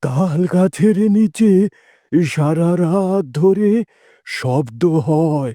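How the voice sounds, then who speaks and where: A man's cartoonish character voice, high in pitch and very slow, on a very clean recording with a silent background. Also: ordinary pitch variation. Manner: gentle, worried.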